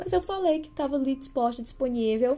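Her tone is dark and mellow as this woman talks at a fairly quick pace. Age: 30s. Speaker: podcast host. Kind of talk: casual solo podcast monologue.

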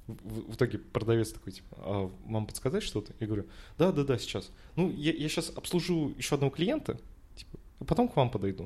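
Talking at a very fast pace, a man with a dark, mellow tone and vocal fry uses a medium pitch with very wide pitch swings and big swings in loudness. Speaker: podcast co-host. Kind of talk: casual chat.

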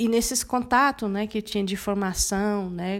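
A woman talks at a moderate pace in an ordinary speaking voice. Her pitch is fairly high and varies in an ordinary way. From Brazil, Mato Grosso do Sul (Guarani Kaiowá village near Dourados). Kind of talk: interview.

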